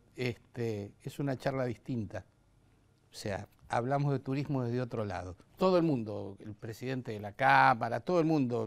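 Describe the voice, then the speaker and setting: A man's pitch rises and falls in an ordinary way as he speaks at a moderate pace. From Argentina. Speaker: tourism TV host. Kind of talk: interview. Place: studio. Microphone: lapel.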